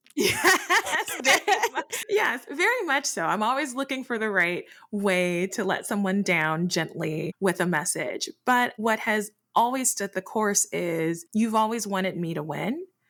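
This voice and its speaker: With an American accent, the speaker goes at a fairly slow pace with hardly any pauses and very wide pitch swings. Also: woman, fairly high pitch for a woman. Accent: shifts between Midwest and Southern. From Detroit, family from US South. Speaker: podcast co-host, entrepreneur. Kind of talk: casual chat.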